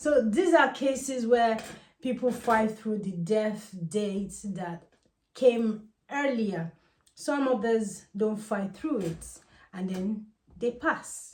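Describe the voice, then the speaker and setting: With audible room echo, a woman with a fairly high, somewhat breathy voice speaks very slowly, using ordinary pitch variation. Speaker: Ifa priestess and spiritual teacher. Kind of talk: casual spiritual advice monologue.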